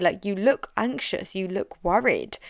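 A woman with an English accent at a fairly quick pace, on a very clean recording with a silent background. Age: 30s. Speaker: business coach. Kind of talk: solo podcast monologue. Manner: direct.

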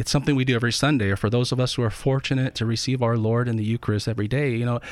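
The recording is very clean, and its background is silent. A man talks very fast. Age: 40s. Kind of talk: radio interview.

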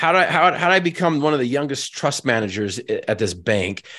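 A man with an American accent speaks fairly quickly in a bright, sharp tone with vocal fry and lively intonation over a quiet background. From Northern Utah. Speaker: motivational speaker and Paralympic athlete. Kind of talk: motivational talk. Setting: video call. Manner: repeats words when starting sentences.

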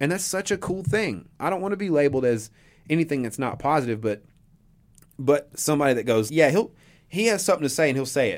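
Very fast, animated talk with lively intonation, in an Appalachian accent. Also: man, fairly high pitch for a man. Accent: Appalachian Southern US. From East Tennessee (Johnson City). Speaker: local artist. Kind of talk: radio interview.

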